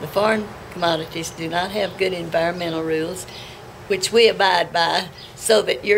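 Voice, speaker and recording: There is noticeable background noise as a woman speaks at a medium pitch. Her pace is fairly slow and her intonation fairly even. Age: 80s+. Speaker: farmer. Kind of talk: interview answer.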